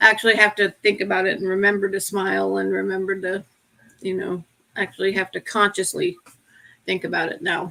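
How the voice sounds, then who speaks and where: Speaking with an American accent, a woman moves at a fairly quick pace. Her tone is bright and sharp, her intonation monotone and flat. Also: medium pitch for a woman. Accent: Appalachian accent, mostly covered up. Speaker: podcast co-host with Parkinson's. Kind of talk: casual chat.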